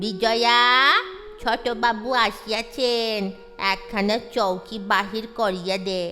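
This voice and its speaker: A female-sounding, put-on character voice speaks at a very slow pace over clear music in the background. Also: fairly high pitch for a woman. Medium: audio drama. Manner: deferential, respectful to his betters.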